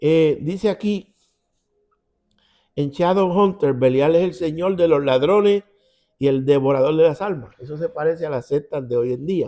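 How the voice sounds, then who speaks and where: A man with a Puerto Rican accent speaks at a moderate pace in a fairly high, dark and mellow voice with ordinary pitch variation and long, frequent pauses. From Puerto Rico. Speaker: Bible teacher. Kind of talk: Bible study. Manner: conversational.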